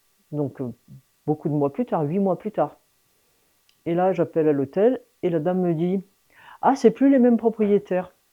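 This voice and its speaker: A woman speaks fairly slowly at medium pitch with lively intonation. Her loudness swings widely, and she pauses long and often. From France, Lyon suburbs. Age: 60s. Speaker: mountain guide, former teacher. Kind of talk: interview conversation. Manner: hesitant, many fillers.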